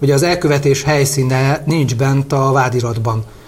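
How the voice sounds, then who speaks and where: At a moderate pace, this man keeps his intonation fairly even. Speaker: lawyer and parliamentary candidate. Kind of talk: interview. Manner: halting.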